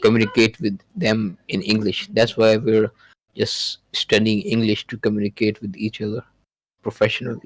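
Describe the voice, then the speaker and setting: A man speaks with a Pakistani accent and fairly low pitch. The sound is dry and close, with no echo. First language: Urdu. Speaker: podcast guest. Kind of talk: casual chat. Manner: halting.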